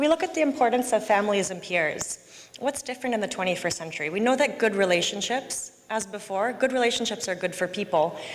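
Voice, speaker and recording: This woman speaks at a fairly high pitch with lively intonation, at a fairly quick pace with hardly any pauses. Noticeable background noise runs underneath. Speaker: policy researcher presenting at a conference. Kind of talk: conference presentation. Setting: conference hall with simultaneous interpretation. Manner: fast.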